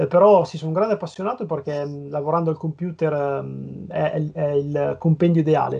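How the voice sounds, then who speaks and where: Using an ordinary speaking voice, a man with a fairly high pitch speaks at a moderate pace with hardly any pauses. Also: fairly even intonation. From northern Italy, Piacenza. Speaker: comic book letterer and graphic designer. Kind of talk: casual interview chat.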